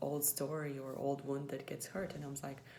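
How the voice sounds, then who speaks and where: Heard with audible room echo and noticeable background noise, the speaker talks at a moderate pace in a monotone, flat intonation with a Latvian accent. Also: woman. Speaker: former English teacher, vlogger. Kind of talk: personal vlog reflection. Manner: hesitant, many fillers.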